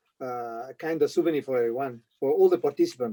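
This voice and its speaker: Moving at a fairly quick pace, a man's fairly high voice has a dark, mellow tone and ordinary pitch variation, with dry, close sound and no echo. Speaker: former press officer of an off-road expedition event. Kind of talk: casual chat.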